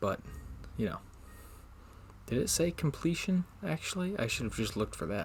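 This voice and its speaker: A man speaks quietly, his pitch swinging very widely. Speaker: gaming video creator. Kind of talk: let's play commentary. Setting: home recording, roommates nearby. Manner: speaking quietly; casual, hesitant with fillers.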